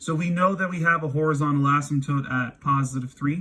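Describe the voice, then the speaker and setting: With fairly even intonation, a man talks at a fairly high pitch. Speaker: math teacher. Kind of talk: lecture. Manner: halting.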